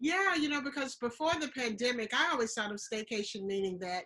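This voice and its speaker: With a Southern US accent, a woman speaks at a fairly quick pace in a fairly high, bright, sharp voice with lively intonation. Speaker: travel show host. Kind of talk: casual chat.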